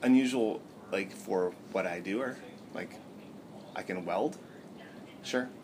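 A man speaks at a medium pitch with lively intonation. His pace is fairly slow, with long, frequent pauses. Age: 30s. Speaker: business founder. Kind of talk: interview. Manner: halting.

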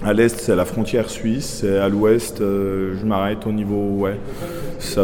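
Against noticeable background noise and audible room echo, a man speaks very slowly at a fairly low pitch with monotone, flat intonation. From Franche-Comté, Doubs. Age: 30s. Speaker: beekeeper and vineyard worker. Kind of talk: casual chat.

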